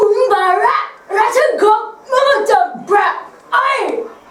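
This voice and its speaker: The voice is a put-on character voice at an extremely high pitch. It moves at a very slow pace with slight echo. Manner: garbled, hard to catch.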